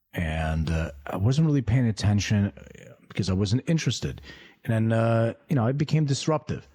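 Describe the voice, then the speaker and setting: At a moderate pace, a man with a medium-pitched, somewhat breathy voice and a dark, mellow tone makes very wide pitch swings. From US (immigrated from Lithuania at six). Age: middle-aged. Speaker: entrepreneur. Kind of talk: interview.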